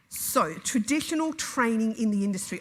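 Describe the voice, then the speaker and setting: With an Australian accent, the speaker's somewhat breathy voice moves through very wide pitch swings. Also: woman. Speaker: EFT trainer and business owner. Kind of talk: conference talk. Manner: fast; nervy.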